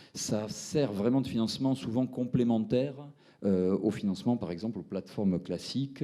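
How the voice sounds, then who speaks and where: A man with a dark, mellow tone and a Toulouse accent, lively in intonation, at a moderate pace. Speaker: fintech entrepreneur presenting his platform. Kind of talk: round-table presentation. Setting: seminar with audience. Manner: hesitant, many fillers.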